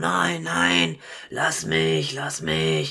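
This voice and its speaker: Over light background noise, a man puts on a character voice at a very deep, low pitch. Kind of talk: colloquial. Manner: whiny protest.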